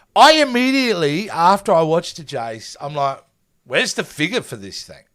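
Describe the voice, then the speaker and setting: In an Australian accent, a man talks in a high pitch with very wide pitch swings. The recording is very clean, with a silent background. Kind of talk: casual, enthusiastic.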